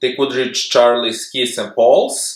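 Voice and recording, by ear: Over audible room echo, a man with a fairly bright tone speaks at a fairly slow pace with lively intonation.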